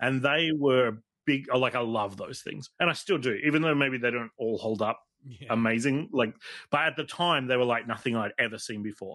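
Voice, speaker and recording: Speaking at a moderate pace, a man with an Australian accent has a bright, sharp tone, medium pitch and ordinary pitch variation over a quiet background. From Australia (South Australia, NSW, Tasmania). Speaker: toy collector and photographer. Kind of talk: casual chat. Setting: studio.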